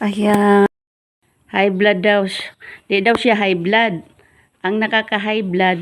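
A woman speaks very slowly in a monotone with flat intonation and very even loudness. Long pauses come often. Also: medium pitch for a woman. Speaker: vlogger. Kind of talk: casual chat.

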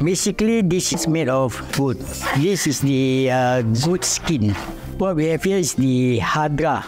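A man talks at a middling speed. Music comes through clearly behind him. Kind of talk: explaining demonstration. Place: home room.

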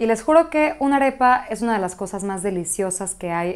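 This woman has a Mexican accent and a fairly high pitch. Her intonation is lively. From Mexico City, Venezuelan family. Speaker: cooking blogger. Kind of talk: cooking tutorial. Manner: warm, casual. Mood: warm and enthusiastic. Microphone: lapel.

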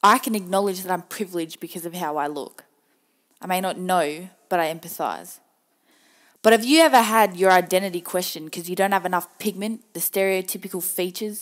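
This woman speaks in an Australian accent at a fairly quick pace, her pitch medium and its variation ordinary. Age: 20s. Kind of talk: personal spoken-word monologue. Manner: earnest, emotional, pointed.

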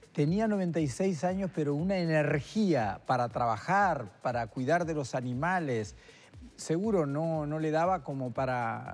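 Faint music sits in the background. A man speaks at a fairly slow pace with lively intonation. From Uruguay (Isla Mala, Florida); Uruguay. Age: 70s. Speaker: retired neurosurgeon and artist; guest. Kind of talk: interview. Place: studio. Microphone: lapel.

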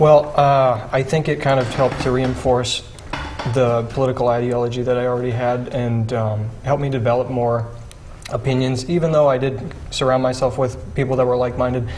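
Light background noise sits behind a man speaking at a medium pitch. He moves at a fairly quick pace with monotone, flat intonation. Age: 20s. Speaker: young conservative activist. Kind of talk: panel discussion. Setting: studio. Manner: halting. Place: studio.

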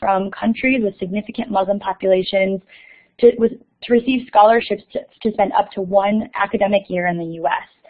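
A woman with an American accent speaks at a fairly quick pace in a normal speaking voice at medium pitch. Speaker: moderator. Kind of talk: panel moderation. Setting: video call.

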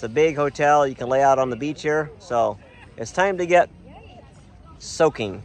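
Crowd noise sits in the background as a man talks at a moderate pace. His pitch is fairly high with ordinary variation, and the sound is dry with no echo. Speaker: travel vlogger. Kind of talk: casual vlog narration. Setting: outdoors. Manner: animated. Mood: cheerful, relaxed. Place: beach. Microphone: phone near.

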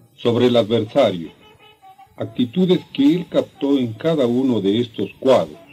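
Faint music plays behind a fairly slow delivery with very wide pitch swings. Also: man. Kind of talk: documentary narration. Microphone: old recording.

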